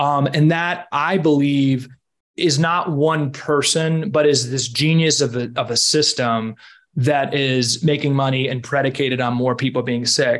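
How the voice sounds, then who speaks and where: With an American accent and an unremarkable speaking voice, a man talks at a fairly high pitch with fairly even intonation. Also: fairly slow pace. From Washington D.C., US. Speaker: health entrepreneur, former food and pharma consultant. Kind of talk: interview.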